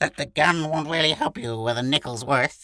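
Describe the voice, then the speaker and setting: Putting on a shrill character voice, a man talks at a fairly high pitch and a moderate pace with ordinary pitch variation. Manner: wise.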